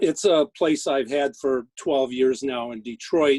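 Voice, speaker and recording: In a dry, close sound with no echo, a man with a plain, everyday voice talks at a medium pitch and a moderate pace. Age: 60s. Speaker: cannabis lawyer. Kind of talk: panel discussion.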